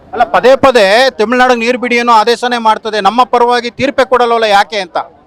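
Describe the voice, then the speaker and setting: With an extremely high pitch and fairly even intonation, a man speaks in a dry, close sound with no echo, though noticeable background noise is present. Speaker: TV news reporter. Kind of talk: field news report.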